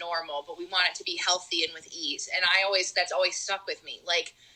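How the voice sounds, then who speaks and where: This woman speaks with a Rochester accent. Her pitch variation is ordinary. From western New York (Rochester area). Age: 20s. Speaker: singer and speech pathology student. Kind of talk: casual chat.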